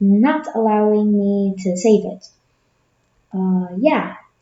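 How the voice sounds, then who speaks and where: A woman's somewhat breathy voice at medium pitch, with fairly even intonation. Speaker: digital artist. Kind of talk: speedpaint voiceover, casual. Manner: hesitant, many fillers.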